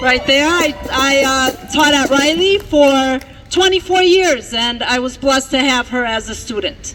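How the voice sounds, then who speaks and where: Crowd noise fills the background as a woman speaks at a fairly slow pace. Her pitch is high, with ordinary pitch variation. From Mexico, raised in Milwaukee from childhood. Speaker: bilingual teacher, rally speaker. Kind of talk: rally speech. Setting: outdoor rally in a park. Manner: impassioned.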